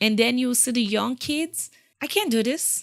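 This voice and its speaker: Recorded very cleanly over a silent background, a woman with a strong West African accent speaks at a fairly high pitch. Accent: thick West African. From Sierra Leone. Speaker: war refugee. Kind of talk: interview. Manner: animated.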